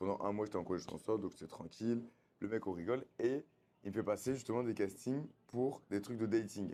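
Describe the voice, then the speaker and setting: A dark, mellow tone at a fairly quick pace, with fairly even intonation. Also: man, fairly low pitch for a man. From France, Bordeaux. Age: 30s. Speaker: reality TV contestant. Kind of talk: casual interview. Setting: on location in Bali. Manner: casual, slangy.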